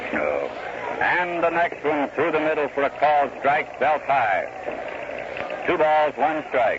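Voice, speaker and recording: A man with an American accent speaks at a very slow pace and very even loudness. Noticeable background noise runs underneath. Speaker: radio baseball play-by-play announcer. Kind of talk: 1930s radio baseball play-by-play broadcast. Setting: old 1934 radio broadcast recording with telegraph machines audible in the background. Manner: calm, conversational, rhythmic pacing.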